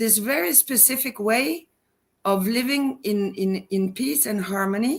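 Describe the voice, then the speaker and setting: At a fairly slow pace, a woman speaks with a fairly high pitch and lively intonation. She sounds somewhat breathy, and her loudness stays very even. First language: Norwegian. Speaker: personal advisor, school founder. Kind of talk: interview. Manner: halting, many fillers.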